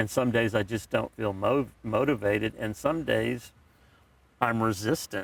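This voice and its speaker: A man talks at a moderate pace with a medium pitch. His voice carries vocal fry. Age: 60s. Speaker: podcast co-host, father of co-host. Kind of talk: casual chat. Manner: halting.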